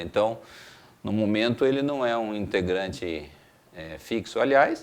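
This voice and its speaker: A man is speaking. His pace is fairly slow. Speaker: rock band singer. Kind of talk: interview.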